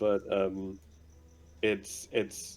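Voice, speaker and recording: A man with a German accent speaks at a very slow pace. His pitch is fairly low. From Germany. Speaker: gamer. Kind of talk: casual chat.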